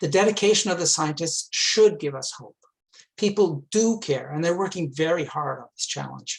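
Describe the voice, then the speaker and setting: Speaking with a Canadian accent, a man uses a high pitch and ordinary pitch variation. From Quebec, Montreal. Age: 60s. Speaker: climate activist, retired engineer. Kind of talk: talk to a club.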